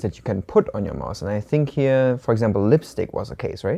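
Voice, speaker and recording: With a slight German accent, a man speaks fairly quickly in a dark, mellow tone with lively intonation. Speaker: Chinese language video co-host. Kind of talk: language lesson dialogue. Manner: casual, conversational with hesitations.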